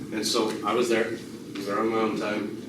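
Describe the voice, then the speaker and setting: A man's medium-pitched voice at a moderate pace, with noticeable background noise and audible room echo. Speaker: sheriff-elect. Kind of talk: community meeting Q&A. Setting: community meeting room with audience. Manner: halting, many fillers and repeats.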